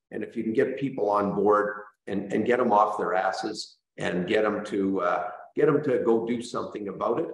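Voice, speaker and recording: In a Canadian accent, a man talks at a moderate pace with a medium pitch and ordinary pitch variation, and audible room echo is present. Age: 60s. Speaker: real estate brokerage owner. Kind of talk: panel discussion. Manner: halting, many fillers.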